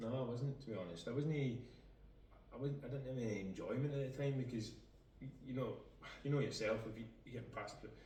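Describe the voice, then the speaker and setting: Very fast speech from a man at medium pitch, fairly even intonation, long and frequent pauses, audible room echo and noticeable background noise. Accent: Scottish. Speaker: footballer. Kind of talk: casual chat.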